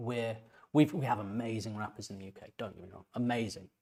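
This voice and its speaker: Speaking at a medium pitch, a man talks with an English accent. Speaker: composer and music reaction youtuber. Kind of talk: music reaction commentary. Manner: halting, many repeated words; casual, conversational.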